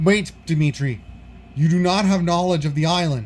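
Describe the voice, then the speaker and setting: In a put-on character voice, a man speaks at a moderate pace with a high pitch, ordinary pitch variation, and very even loudness. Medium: solo performance. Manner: formal, stilted phrasing.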